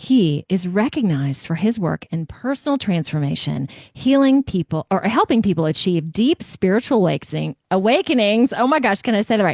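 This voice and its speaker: A woman's pitch swings very widely in a dry, close recording with no echo. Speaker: podcast host. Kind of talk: reading aloud; interview. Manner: loud.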